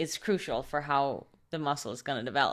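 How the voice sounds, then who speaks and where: In a non-native accent, a woman speaks with a very deep, low pitch on a very clean recording with a silent background. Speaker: podcast host. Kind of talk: interview.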